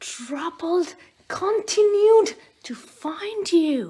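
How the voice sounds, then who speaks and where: A woman performs a put-on character voice. It is clearly an act. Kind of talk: bedtime story. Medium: read story. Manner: soft, heartfelt.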